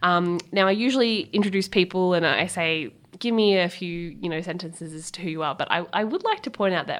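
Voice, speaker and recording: In an Australian accent, a woman speaks at a medium pitch. Her intonation is lively. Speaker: podcast host. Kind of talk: interview. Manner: lively, not calm.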